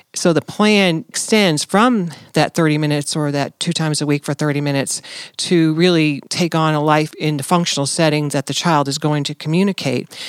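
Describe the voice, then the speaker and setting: A woman with a very deep, low voice speaks at a fairly quick pace in an American accent with ordinary pitch variation. The sound is dry and close with no echo, on a very clean recording with a silent background. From New Jersey. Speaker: pediatric therapist and team lead. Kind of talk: casual professional interview.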